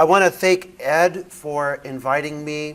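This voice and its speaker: Here a man talks with a Midwestern accent. His pitch varies in an ordinary way. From US Midwest. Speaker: theology professor. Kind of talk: lecture.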